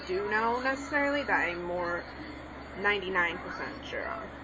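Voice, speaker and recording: Over noticeable background noise and audible room echo, a woman talks at a moderate pace. Her fairly high voice carries lively intonation. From Mexican background. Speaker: online language tutor. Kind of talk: tutorial. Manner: casual, hesitant with many fillers.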